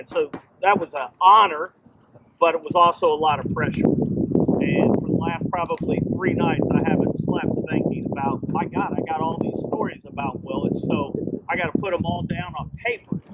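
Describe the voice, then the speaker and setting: Loud speech at a moderate pace with ordinary pitch variation, over noticeable background noise. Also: man, high pitch for a man. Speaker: friend giving tribute. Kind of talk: memorial tribute speech. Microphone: no microphone.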